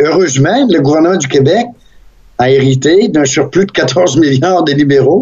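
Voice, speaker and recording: Somewhat breathy, a man with a Quebec accent speaks at a fairly high pitch with lively intonation and very even loudness. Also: moderate pace. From Saguenay, Quebec. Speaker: radio host and former politician. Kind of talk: casual interview.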